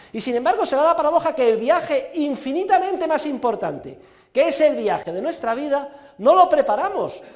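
The delivery is fairly quick, with lively intonation. Audible room echo surrounds the voice. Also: man, extremely high pitch for a man. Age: 50s. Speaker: university professor. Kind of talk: lecture.

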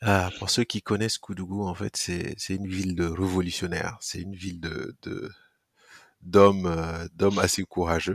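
Flat and monotone at a moderate pace, the voice comes through dry and close with no echo, on a very clean recording with a silent background. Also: man, very deep, low pitch for a man. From Burkina Faso. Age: 30s. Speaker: startup founder. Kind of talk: casual interview. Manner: halting, frequent repetitions.

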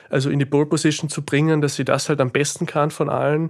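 On a very clean recording with a silent background, a man with a Slovenian accent talks at a fairly quick pace in a fairly high pitch. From Austria, Carinthia (Klagenfurt), Carinthian Slovene. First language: Slovene (speaking German). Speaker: author and philosopher. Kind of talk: interview. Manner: halting, many fillers.

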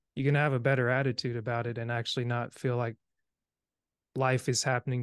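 Against a quiet background, the voice rattles off words very fast in a flat monotone, with a dry, close sound and no echo. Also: man. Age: 30s. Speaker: podcast host. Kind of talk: casual interview conversation.

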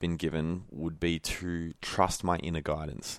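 In a very clean recording with a silent background, a man with an Australian accent speaks at a fairly slow pace in a very deep, low pitch. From Melbourne, Australia. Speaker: former pro footballer and holistic nutritionist. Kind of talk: casual interview chat.

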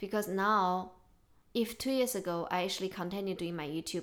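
A woman with a Chinese accent talks at a fairly quick pace with fairly even intonation. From China. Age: 30s. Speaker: podcast host. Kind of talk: casual chat. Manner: emotional.

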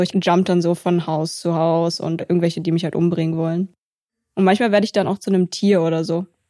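A woman speaks fairly quickly at a fairly low pitch, with a dark, mellow tone and monotone, flat intonation. The recording is very clean and dry, close with no echo and a silent background. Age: 20s. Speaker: musician and comedian. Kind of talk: casual chat.

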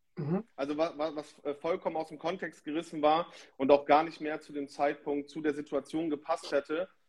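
Loudness swings widely while the intonation stays monotone and flat at a moderate pace. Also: man, fairly high pitch for a man. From northern Germany, Emsland (Lower Saxony) near Dutch border. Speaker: DJ. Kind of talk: casual chat.

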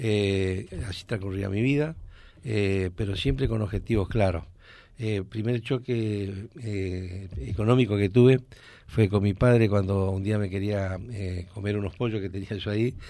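Dark and mellow in tone, a man of fairly low pitch speaks at a fairly slow pace with ordinary pitch variation on a very clean recording with a silent background. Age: 70s. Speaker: businessman and former government official. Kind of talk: radio interview.

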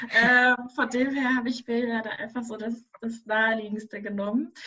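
A woman speaks at a very slow pace. Her voice is fairly high in pitch, with a bright, sharp tone. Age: 20s. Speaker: doctoral researcher and policy consultant. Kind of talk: interview.

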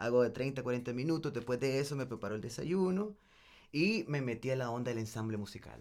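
This man has an unremarkable speaking voice at a medium pitch, moving at a fairly quick pace with ordinary pitch variation and big swings in loudness. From El Salvador, raised in Nicaragua. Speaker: singer and musician. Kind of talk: casual chat.

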